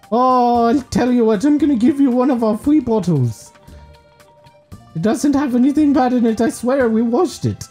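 A man puts on a character voice pitched extremely high, talking at a moderate pace over faint background music. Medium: solo performance. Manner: bubbly, sales-pitch friendly.

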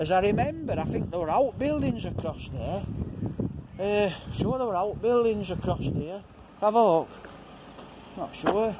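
A man at a moderate pace with long, frequent pauses, over loud background noise. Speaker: walking vlogger. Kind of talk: casual vlog chat. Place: street. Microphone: phone near.

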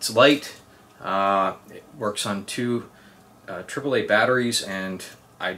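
Pitched fairly low, the man has an ordinary speaking voice whose pitch variation is ordinary. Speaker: product reviewer. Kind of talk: casual review talk. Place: home room.

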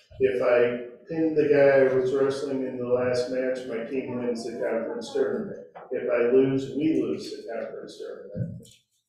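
Amid noticeable background noise and strong room echo, a man speaks at a moderate pace. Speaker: preacher. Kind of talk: sermon. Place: church.

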